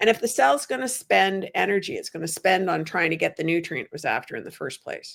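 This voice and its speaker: A woman with an unremarkable speaking voice talks at a fairly quick pace and medium pitch, with lively intonation, big swings in loudness and hardly any pauses. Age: 60s. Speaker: low oxalate diet coach. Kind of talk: interview answer.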